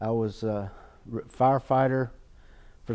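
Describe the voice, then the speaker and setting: Speaking at a very slow pace with a Southern US accent, a man with a medium pitch and a dark, mellow tone keeps his intonation fairly even. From North Carolina, Greensboro. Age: 60s. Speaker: retired firefighter. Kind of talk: oral history interview. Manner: halting.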